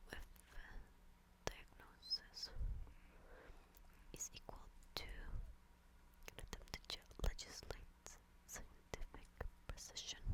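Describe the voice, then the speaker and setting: The voice is whispering at a very slow pace. Long, frequent pauses break up the speech. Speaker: ASMR reader. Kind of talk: casual commentary to listeners. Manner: whispered, soft-spoken.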